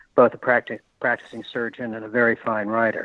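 A man at a medium pitch, with an American accent. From US Northeast. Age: 60s. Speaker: author. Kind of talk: interview.

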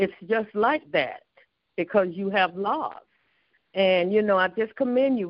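A woman's unremarkable speaking voice, fairly slow in pace, with ordinary pitch variation.

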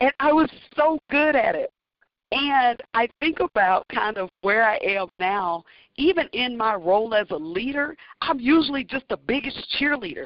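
A woman with an American accent talks at a moderate pace, her high pitch swinging very widely. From US South, northern Louisiana. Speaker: university athletic director. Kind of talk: interview.

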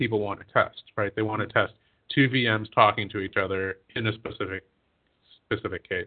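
At a fairly quick pace, a man with an unremarkable speaking voice talks at a fairly low pitch with ordinary pitch variation. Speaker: podcast co-host. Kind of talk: casual chat. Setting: studio.

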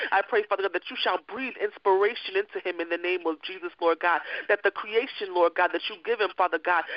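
A man speaks with a high pitch. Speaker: prayer line participant. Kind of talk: fervent prayer. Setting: phone conference line. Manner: repetitive rhythmic, earnest.

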